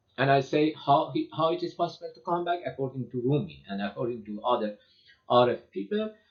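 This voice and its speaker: Lively intonation marks this man's fairly high-pitched voice, which carries a non-native accent at a fairly quick pace. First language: Persian. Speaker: lecturer on poetry and mysticism. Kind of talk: lecture. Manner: halting, many fillers and repetitions.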